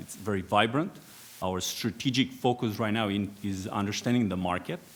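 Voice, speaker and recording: This voice carries a Romanian accent. It moves at a fairly quick pace with ordinary pitch variation. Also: man. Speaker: aerospace executive, former air force pilot. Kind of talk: panel discussion. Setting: conference stage with audience.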